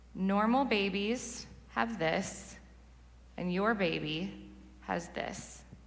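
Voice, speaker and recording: A woman speaks very slowly with an American accent. Room echo is audible. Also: long, frequent pauses. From Southern California. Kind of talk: sermon testimony.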